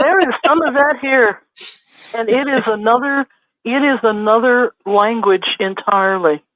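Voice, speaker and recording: With lively intonation and a fairly slow pace, a woman speaks in a plain, everyday voice pitched fairly high. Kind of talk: casual chat.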